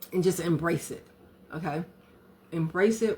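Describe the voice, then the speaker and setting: A woman's raspy, put-on character voice, fairly low in pitch, at a moderate pace. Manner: mouth full, chewing.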